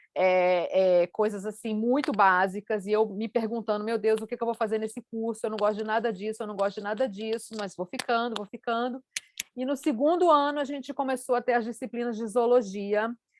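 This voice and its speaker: A woman with a fairly high voice talks at a fairly quick clip with ordinary pitch variation, in a dry, close recording without echo. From Brazil, Rio de Janeiro. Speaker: scientist. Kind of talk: panel talk.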